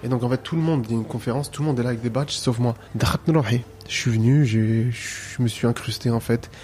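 Talking at a fairly quick pace with fairly even intonation, a man is heard over noticeable background noise. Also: medium pitch for a man. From France. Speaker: calligraffiti artist. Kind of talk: casual interview.

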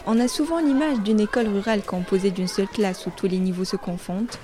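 A woman talks at a fairly quick pace. Crowd noise can be heard behind her. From Morocco, Salé. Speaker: student documentary maker. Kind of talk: scripted narration.

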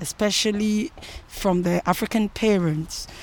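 The woman's pitch sits in the medium range with ordinary variation, and she talks at a very slow pace. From Ghana. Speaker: musician. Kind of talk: interview. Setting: outdoors by a canal.

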